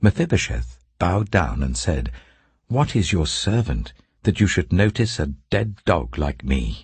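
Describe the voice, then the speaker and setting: With a British accent, a man speaks at a fairly slow pace in a very deep, low pitch, showing very wide pitch swings and vocal fry. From England. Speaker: actor. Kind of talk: audiobook Bible reading. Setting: studio.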